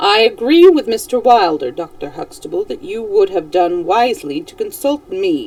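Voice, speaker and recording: A woman uses a resonant, high-pitched put-on character voice at a moderate pace, with hardly any pauses, very wide pitch swings and big swings in loudness. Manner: commanding, grand.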